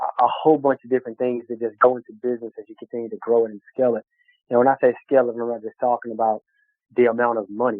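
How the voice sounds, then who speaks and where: Speaking very fast in a strong Southern US accent, the voice stays monotone and flat while its loudness swings widely. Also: man, medium pitch for a man. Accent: strong country Southern. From Texas, small town. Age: 30s. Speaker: business owner. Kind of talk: interview. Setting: podcast. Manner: draws out words, not fast; halting, many fillers.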